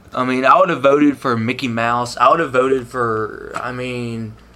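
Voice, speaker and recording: With noticeable background noise present, a man talks in a medium-pitched voice that shows ordinary pitch variation. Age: 20s. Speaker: interviewee, Trump voter. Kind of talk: interview answers.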